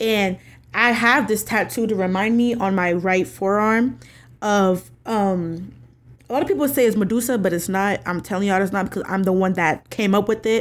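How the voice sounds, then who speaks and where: Over a silent background in a very clean recording, a woman with an American accent speaks at a medium pitch and a moderate pace. Hers is an unremarkable speaking voice, with ordinary pitch variation. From New York. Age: 20s. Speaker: podcast host. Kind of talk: casual solo podcast talk.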